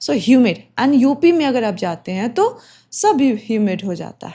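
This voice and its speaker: In a very clean recording with a silent background, a woman with a high pitch and a dark, mellow tone speaks with very wide pitch swings. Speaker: exam coaching teacher. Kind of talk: lecture. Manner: code-switching Hindi and English.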